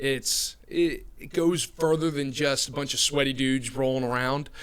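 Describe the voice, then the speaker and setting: This man speaks with an American accent at a moderate pace, his fairly high pitch held in a monotone, flat intonation over noticeable background noise. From New Jersey. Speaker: recruiter. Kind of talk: podcast interview.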